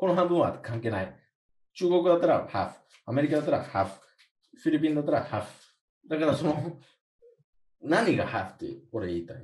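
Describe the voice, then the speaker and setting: Speaking at a very fast pace with long, frequent pauses, a man with a fairly high pitch and vocal fry swings his pitch very widely. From USA. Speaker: podcast co-host. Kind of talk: casual chat.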